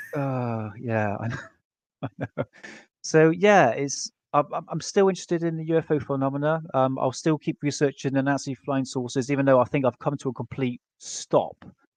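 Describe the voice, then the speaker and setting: Someone speaks with an English accent, the sound dry and close with no echo and the background quiet. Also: man. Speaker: guest researcher on UFO topics. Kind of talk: casual podcast discussion. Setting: live stream with chat. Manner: halting.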